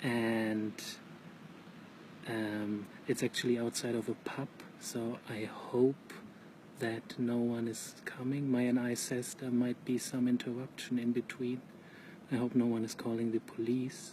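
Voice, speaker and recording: A soft-spoken man talks at medium pitch in a monotone, flat intonation, at a fairly slow pace with long, frequent pauses. Noticeable background noise runs underneath. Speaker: vlogger. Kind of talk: casual live monologue. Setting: outdoors at night near a pub.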